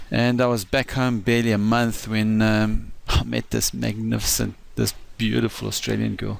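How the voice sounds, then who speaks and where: At a moderate pace, a man talks with a South African accent. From South Africa, east coast. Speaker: financial advisor. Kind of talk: personal introduction talk. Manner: halting, many fillers.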